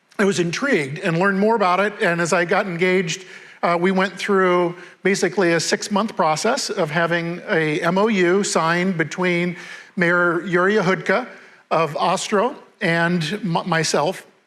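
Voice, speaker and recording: In a room with audible echo, a man speaks at a high pitch and moderate pace, with fairly even intonation and very even loudness. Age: 60s. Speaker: mayor. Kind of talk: onstage interview. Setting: stage with audience.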